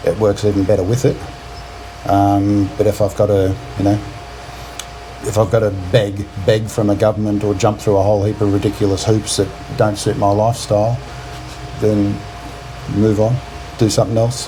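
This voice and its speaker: A man with a fairly low voice and an Australian accent talks at a fairly quick pace, with long, frequent pauses. His intonation is monotone and flat, his loudness very even, and background noise is noticeable. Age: 50s. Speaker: retired expat. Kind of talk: casual chat. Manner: halting.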